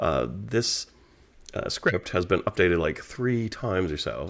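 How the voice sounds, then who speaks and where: A man speaks quietly in a very deep, low voice. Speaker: game designer. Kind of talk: casual vlog update. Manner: low, quiet tone.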